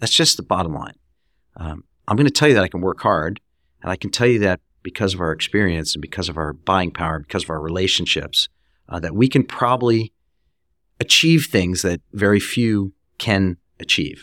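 The tone is bright and sharp, with lively intonation and long, frequent pauses. The recording is very clean, with a silent background and a dry, close sound with no echo. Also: man, very deep, low pitch for a man, fairly quick pace. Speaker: hospitality furniture executive. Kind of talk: casual interview. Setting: in-person, office. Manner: straightforward, blunt.

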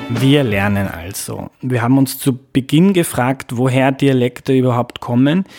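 An ordinary speaking voice moves at a fairly slow pace, recorded very clean with a silent background and a dry, close sound with no echo. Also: man. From Lower Austria, Mostviertel. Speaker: podcast host. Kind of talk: scripted narration; casual interview.

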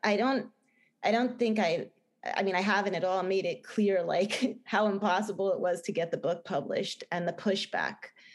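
The speaker talks with a New Jersey accent. The pitch varies in an ordinary way. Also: woman. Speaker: film director and novelist. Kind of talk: interview. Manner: halting, many fillers and restarts.

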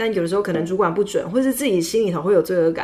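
A woman at a very fast pace, medium pitch, and ordinary pitch variation. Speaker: radio host. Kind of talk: casual chat. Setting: studio.

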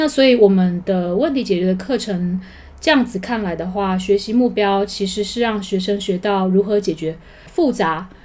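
A woman talks at a moderate pace in an ordinary speaking voice. Her pitch varies in an ordinary way. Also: medium pitch for a woman. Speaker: high school teacher. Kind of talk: interview.

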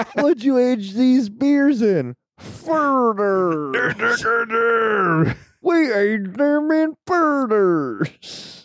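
A put-on character voice with a fairly high pitch drawls out its words at a very slow pace. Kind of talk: comic, exaggerated.

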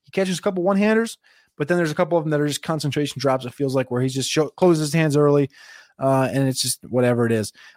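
A man speaks very fast with lively intonation and a fairly high pitch for a man, the sound dry and close with no echo, on a very clean recording with a silent background. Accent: New Jersey. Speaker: NFL draft analyst. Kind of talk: solo show preview, casual analysis. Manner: fast talker; casual, profane.

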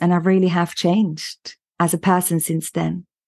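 The voice has a dark, mellow tone and a monotone, flat intonation, recorded with a dry, close sound and no echo. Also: woman. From Austria. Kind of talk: interview. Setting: video call.

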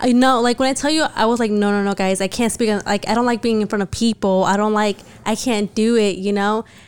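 A woman talks at a very fast pace with fairly high pitch. Her intonation stays fairly even and her loudness very even. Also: hardly any pauses. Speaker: podcast host. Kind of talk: casual chat.

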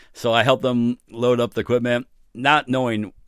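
The recording is very clean, and the background is silent. The man talks at a medium pitch. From New York City. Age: 50s. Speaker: recording studio owner and producer. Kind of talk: casual interview. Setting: recording studio.

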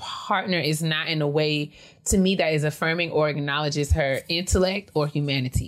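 An animated woman with an American accent speaks in a very deep, low pitch. Her pace is moderate and her pitch variation ordinary. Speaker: podcast co-host. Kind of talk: casual chat.

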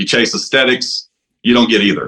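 Bright and sharp in tone, a man speaks with a Texan accent. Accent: Texan Southern US. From East Texas. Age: 40s. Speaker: caller seeking fitness advice. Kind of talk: call-in question. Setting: video call.

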